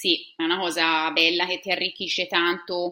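A woman with a Tuscan accent speaks at a fairly low pitch in a bright, sharp tone. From Tuscany, Italy (Siena). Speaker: science teacher. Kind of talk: interview.

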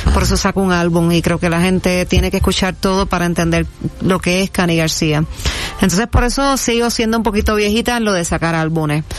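With music in the background, a woman speaks at a fairly quick pace and a fairly low pitch, with ordinary pitch variation and very even loudness. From Puerto Rico, Toa Baja. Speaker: singer-songwriter. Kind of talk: casual interview.

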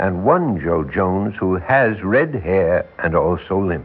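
The speaker performs a put-on character voice at a slow pace with lively intonation. Audible room echo surrounds the voice. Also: man, low pitch for a man.

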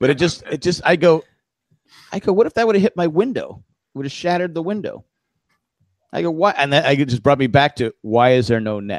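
A man speaks at a fairly quick pace in a fairly high voice, with very wide pitch swings. The sound is dry and close with no echo, and he leaves long, frequent pauses. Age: middle-aged. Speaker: podcast co-host. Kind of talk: casual chat.

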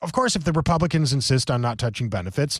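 Very fast and somewhat breathy, a man with an American accent speaks at medium pitch with ordinary pitch variation, in a very clean recording with a silent background. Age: 40s. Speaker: political talk radio host. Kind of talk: political talk radio monologue.

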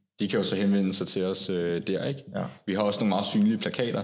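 Audible room echo surrounds a man's fairly low-pitched voice with fairly even intonation. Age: 20s. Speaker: Jehovah's Witness, security worker. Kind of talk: casual interview.

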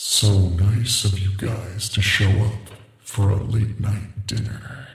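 In a put-on character voice, a man rumbles at a fairly low pitch with a menacing tone, fairly slow pace and monotone, flat intonation, with a clear echo around him. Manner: crazed, menacing.

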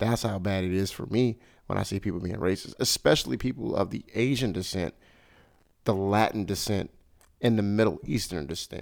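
In a very clean recording with a silent background, a man with a normal speaking voice talks at a fairly quick pace, with a fairly low pitch and ordinary pitch variation. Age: 30s. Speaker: podcast host. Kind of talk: casual chat.

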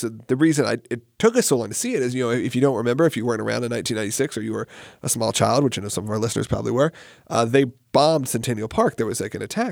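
In a very clean recording with a silent background, a man speaks very fast in a medium pitch. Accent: American. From US South, Atlanta area. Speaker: podcast host. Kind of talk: casual chat.

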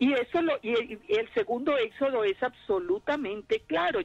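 A woman's high-pitched, lively voice, dry and close with no echo, over music in the background. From Colombia, Armenia. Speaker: Torah teacher and clinical psychologist. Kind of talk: radio interview, testimony.

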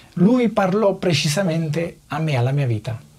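A man with a fairly high pitch speaks at a fairly slow pace with lively intonation over noticeable background noise. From Naples, southern Italy. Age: 30s. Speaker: factory worker. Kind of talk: testimony.

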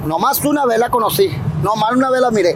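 Lively intonation carries speech at a fairly quick pace, with noticeable background noise present. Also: man. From Sinaloa, Mexico (El Dorado, raised in Culiacán). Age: 30s. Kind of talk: casual interview chat. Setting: outdoors on the street. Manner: halting, repetitive.

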